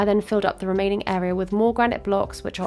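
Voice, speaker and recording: There is music in the background as a woman speaks with a British accent. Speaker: Minecraft builder. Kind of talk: tutorial voiceover.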